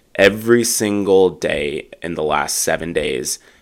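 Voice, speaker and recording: An animated man with an American accent and ordinary pitch variation, on a very clean recording with a silent background. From US Midwest. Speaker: airline pilot. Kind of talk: casual podcast chat. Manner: animated, joking.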